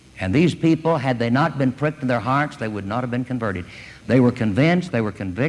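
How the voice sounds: The clip carries a natural reading voice. The delivery stays a natural reading voice.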